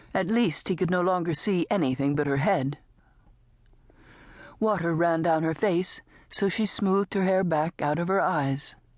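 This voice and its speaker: A woman with a fairly low voice speaks at a moderate pace, leaving long, frequent pauses, her loudness very even and her pitch variation ordinary against a quiet background. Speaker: audiobook narrator. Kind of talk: audiobook narration. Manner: dramatic, lively.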